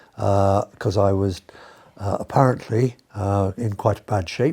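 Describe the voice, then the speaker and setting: Fairly slow and fairly even in intonation, a man speaks with a fairly low, dark, mellow, somewhat breathy voice. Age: 70s. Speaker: retired doctor and amputee patient. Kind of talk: interview testimony. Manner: halting, many fillers.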